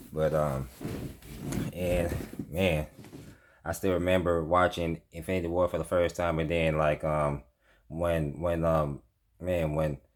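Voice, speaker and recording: A man speaks in a very deep, low voice with flat, monotone intonation and very even loudness. His pace is fairly slow, broken by long, frequent pauses. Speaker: movie reviewer. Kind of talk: casual video review monologue. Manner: halting, stumbling with many fillers.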